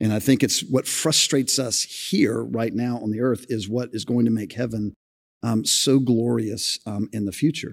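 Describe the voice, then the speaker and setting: At a moderate pace, this is an ordinary speaking voice with fairly even intonation. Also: man, medium pitch for a man. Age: 50s. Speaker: senior pastor. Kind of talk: live podcast discussion before a congregation. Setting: church sanctuary with audience.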